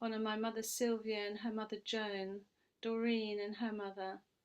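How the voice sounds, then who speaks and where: Moderate pace, monotone, flat intonation, and a British accent. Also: woman. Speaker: priestess leading a ceremony. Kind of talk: ritual ceremony.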